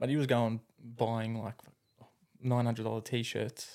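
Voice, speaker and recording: A man at medium pitch with an Australian accent, fairly slow pace and fairly even intonation. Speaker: carpenter. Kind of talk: casual chat.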